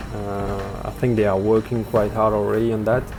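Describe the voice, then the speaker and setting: With a French accent, a man speaks at a moderate pace amid audible room echo and noticeable background noise. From France. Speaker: gaming news channel host. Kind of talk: weekly news update video. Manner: halting, many filler words.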